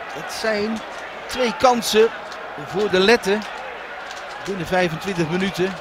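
Noticeable background noise sits behind a man with a high pitch. He talks at a very slow pace with long, frequent pauses. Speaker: football commentator. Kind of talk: live football commentary. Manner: excitable at chances, with exclamations.

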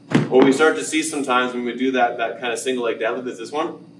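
A man's voice over noticeable background noise. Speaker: fitness coach. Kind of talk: tutorial. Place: gym. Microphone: camera far.

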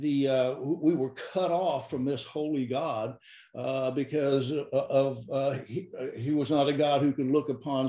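The speaker talks at a fairly slow pace with fairly even intonation. Some room echo is audible over a quiet background. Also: man. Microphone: video call.

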